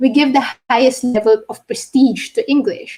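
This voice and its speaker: A woman with a Filipino accent speaks at a high pitch in a dark, mellow tone. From Philippines. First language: Tagalog. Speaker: linguist. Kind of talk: lecture. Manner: halting.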